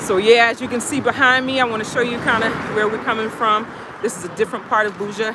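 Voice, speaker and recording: A woman talks at a very fast pace, in a dry sound with no echo. Loud background noise surrounds her. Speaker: livestream host. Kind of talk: casual vlog chat. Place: street. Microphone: phone near.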